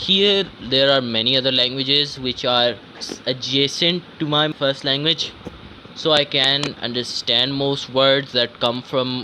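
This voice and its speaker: Over noticeable background noise, a man speaks at a fairly slow pace with medium pitch and ordinary pitch variation. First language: not English. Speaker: vlogger. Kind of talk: casual monologue. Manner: halting.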